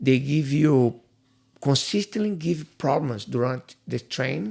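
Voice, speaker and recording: Pitch variation here is ordinary. The voice has a somewhat breathy quality. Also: man. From Brazil, Rio de Janeiro. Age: 50s. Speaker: jiu-jitsu instructor. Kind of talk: podcast interview. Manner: halting.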